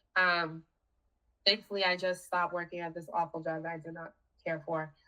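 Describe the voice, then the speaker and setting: This speaker has a Boston accent. The pace is moderate. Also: woman. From Boston, Haitian American. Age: 40s. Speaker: cancer survivor. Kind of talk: casual chat.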